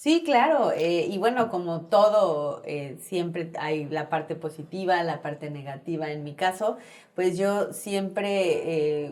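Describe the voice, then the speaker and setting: A woman at a very slow pace with hardly any pauses, in a Mexican accent. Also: fairly low pitch for a woman, ordinary pitch variation, big swings in loudness. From Mexico, Chetumal and Mexico City. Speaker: politician, gubernatorial candidate. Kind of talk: interview.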